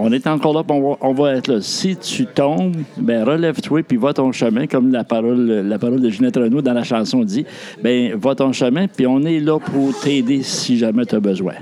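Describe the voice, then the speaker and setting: Noticeable noise sits in the background. The talking goes at a moderate pace, and the pitch varies in an ordinary way. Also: man. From New Brunswick. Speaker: outgoing shelter director. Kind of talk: casual interview.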